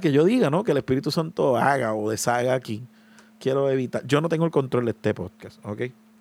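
A man with a medium pitch delivers his words at a fairly quick pace. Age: 20s. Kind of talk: solo podcast monologue. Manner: hesitant, many filler sounds.

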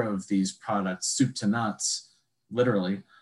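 In an Upper Midwest accent, the speaker keeps a moderate pace and fairly even intonation. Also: man. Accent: Upper Midwest American. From Wisconsin, Sheboygan. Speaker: foraging instructor. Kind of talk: casual interview chat.

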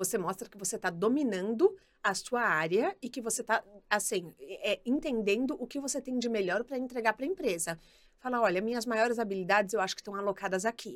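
A woman speaks at a very fast pace with lively intonation. Her loudness swings widely. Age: 30s. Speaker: career specialist and podcaster. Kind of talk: casual chat. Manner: animated.

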